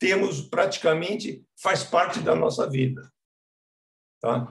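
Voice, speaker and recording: A man speaks at a fairly high pitch with vocal fry. His pace is fairly slow. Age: 70s. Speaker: children's book author. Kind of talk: talk at a literary reading event. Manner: conversational, with hesitations.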